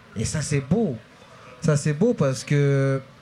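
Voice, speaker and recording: Speaking at a moderate speed, the man's voice sits fairly high. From New Caledonia, Nouméa (Kanak from Lifou). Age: 40s. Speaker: slam poet. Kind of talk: public talk interview. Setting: stage with audience at book fair. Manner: halting.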